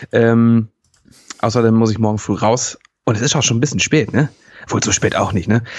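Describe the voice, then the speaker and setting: A man talks at a fairly quick clip in a medium pitch, an ordinary speaking voice. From Hamburg. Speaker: podcast co-host. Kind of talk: casual banter. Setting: evening recording.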